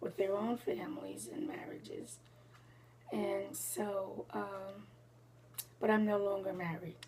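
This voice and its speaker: With noticeable background noise and audible room echo, a woman speaks at a very slow pace with long, frequent pauses. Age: 70s. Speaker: senior citizen interviewee. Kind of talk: interview. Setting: at her home.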